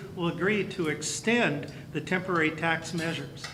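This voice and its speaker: Noticeable background noise and audible room echo around a man's voice, its pitch varying in an ordinary way. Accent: American. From California, Campbell area (Bay Area). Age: 60s. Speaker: county superintendent of schools. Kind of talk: speech at a luncheon. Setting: banquet hall with audience.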